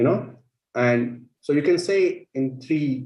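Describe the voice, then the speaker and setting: A man with an Indian accent speaks in a dark, mellow tone that is somewhat breathy. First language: Marathi. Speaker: panel moderator. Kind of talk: panel discussion.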